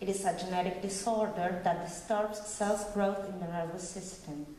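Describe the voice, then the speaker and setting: With an Argentine accent, a woman talks in fairly even intonation amid audible room echo and noticeable background noise. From Argentina. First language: Spanish. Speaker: bioethics committee member. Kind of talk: conference talk read from notes. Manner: reading aloud, some hesitations.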